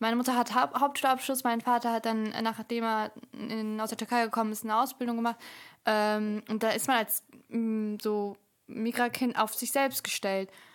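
The delivery is monotone and flat, at a moderate pace. The recording is very clean, with a silent background. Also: woman, fairly high pitch for a woman. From Germany, Bielefeld. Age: 20s. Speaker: podcaster and student. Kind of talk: casual chat.

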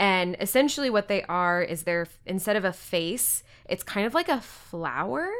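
A woman with an American accent speaks in an ordinary speaking voice, pitched in the middle of her range, with lively intonation at a moderate pace. The recording is very clean, with a silent background. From Texas. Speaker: podcast co-host. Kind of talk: casual chat.

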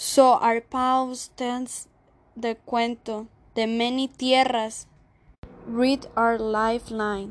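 With a Spanish accent, a woman speaks very slowly at a fairly high pitch, her intonation monotone and flat over a quiet background. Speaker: spoken word poet. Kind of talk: spoken word poetry performance.

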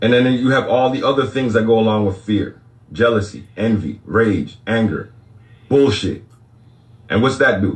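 Somewhat breathy, a man speaks with long, frequent pauses, very even loudness and ordinary pitch variation. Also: medium pitch for a man, moderate pace. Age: 40s. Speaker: livestream spiritual talk host. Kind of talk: casual livestream monologue.

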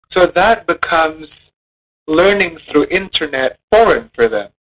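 The sound is dry and close with no echo, and the pitch varies in an ordinary way. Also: man. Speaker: college lecturer. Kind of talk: monologue.

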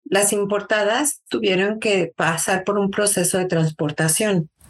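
Speaking with a Mexico City accent, a woman at medium pitch talks at a fairly slow pace with ordinary pitch variation. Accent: Mexican Spanish (Mexico City). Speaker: early childhood educator and teacher coach. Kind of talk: interview.

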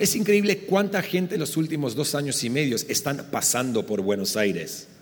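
There is noticeable background noise as a man talks at a moderate pace. His pitch swings very widely. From Argentina. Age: 40s. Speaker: pastor. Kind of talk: live podcast conversation. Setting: live recording at a conference.

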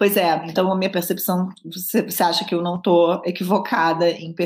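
Somewhat breathy speech from a woman at a moderate speed. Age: 40s. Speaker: podcast host. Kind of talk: interview conversation. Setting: remote call from home.

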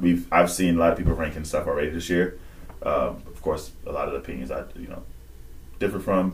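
A man talks at a fairly quick pace in a very deep, low voice with vocal fry and ordinary pitch variation. Audible room echo surrounds his speech. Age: 20s. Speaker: podcast co-host. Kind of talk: casual chat.

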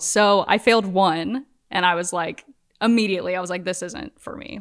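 In a normal speaking voice, a woman with an American accent talks at a moderate pace with ordinary pitch variation. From US South, Norfolk, Virginia. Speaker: visual artist. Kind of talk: casual chat.

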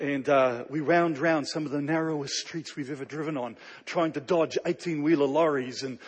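Animated in tone, a man speaks with a New Zealand accent. His pace is fairly quick. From Canada. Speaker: pastor. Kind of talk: sermon. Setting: stage with audience.

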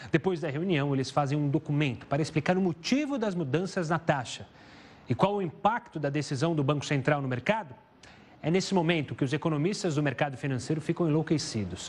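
At a fairly quick pace, a man talks in a somewhat breathy, fairly high voice with ordinary pitch variation. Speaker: economics reporter. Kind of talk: scripted news report narration.

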